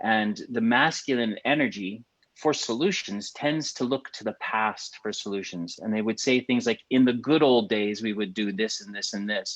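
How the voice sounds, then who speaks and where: A man with a Canadian accent and a plain, everyday voice, at a medium pitch and moderate pace with ordinary pitch variation. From Canada. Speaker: podcast co-host. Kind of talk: casual chat.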